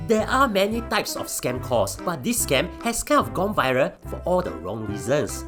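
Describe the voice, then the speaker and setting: Music can be heard behind the voice. The speaker moves along at a fairly quick pace. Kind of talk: explainer narration to camera. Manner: casual, joking.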